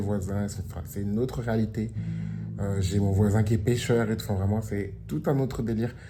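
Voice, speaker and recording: Speaking at a fairly quick pace, a man with a fairly low pitch keeps his intonation fairly even amid audible room echo. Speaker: vlogger. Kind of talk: casual vlog. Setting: at home by the beach. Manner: casual with fillers.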